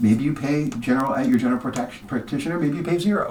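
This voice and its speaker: The pitch swings very widely. There is noticeable background noise. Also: man. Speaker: insurance agent. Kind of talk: tutorial. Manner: fast.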